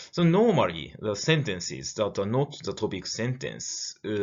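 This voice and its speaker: A man talks at a moderate pace with a Japanese accent and vocal fry. His pitch swings very widely. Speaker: lecturer. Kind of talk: lecture. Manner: halting, many fillers.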